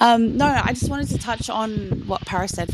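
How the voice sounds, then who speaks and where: Dry, close sound with no echo, carrying a woman with an Australian accent at a moderate pace and ordinary pitch variation. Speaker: listener joining to speak. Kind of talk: casual chat. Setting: live audio chat room.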